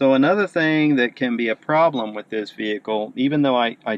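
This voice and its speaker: A man with a normal speaking voice, medium pitch, ordinary pitch variation, and a moderate pace. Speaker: car owner reviewer. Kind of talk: video review walkthrough. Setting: in a car.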